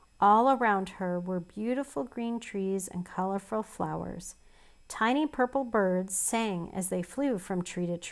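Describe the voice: Someone does plain reading aloud. Ordinary pitch variation runs through it.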